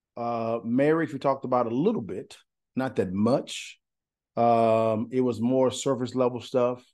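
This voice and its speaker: Speaking with an East Texas accent, a man keeps a fairly slow pace at medium pitch, his tone dark and mellow over a quiet background. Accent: East Texas Southern American. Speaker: podcast guest, married couple sharing their story. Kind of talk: casual interview conversation. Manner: animated, stammering repetitions.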